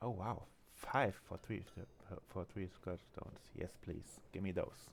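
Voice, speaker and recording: A man talks quietly in a very deep, low pitch. His pace is moderate, with ordinary pitch variation. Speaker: gaming streamer. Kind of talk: live gameplay commentary. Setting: home, roommate asleep. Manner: quiet, low voice; hesitant, many fillers.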